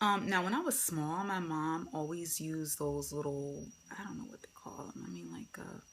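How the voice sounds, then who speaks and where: A woman speaks at a very deep, low pitch and a moderate pace. Her intonation is lively. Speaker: beauty vlogger. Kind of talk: casual chat. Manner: rambling, filler-heavy.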